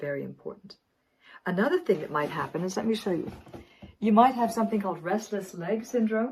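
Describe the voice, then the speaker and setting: Somewhat breathy air runs through this voice. The intonation moves in a lively way. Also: woman. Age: 60s. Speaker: wellness coach. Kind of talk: tutorial.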